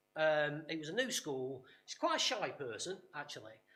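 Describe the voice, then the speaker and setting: With an East Midlands accent, a man talks at a moderate pace in a fairly high voice, with audible room echo around him. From English East Midlands, Nottinghamshire. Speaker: workshop speaker. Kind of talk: conference talk. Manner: hesitant, many fillers and repetitions.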